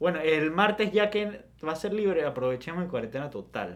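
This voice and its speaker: With lively intonation and a moderate pace, a man talks in a plain, everyday voice. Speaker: podcast co-host. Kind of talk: casual chat.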